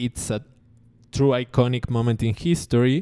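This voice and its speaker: A man speaks with a Rioplatense accent at a fairly slow pace. His tone is dark and mellow. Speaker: podcast host. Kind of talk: casual monologue. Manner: halting.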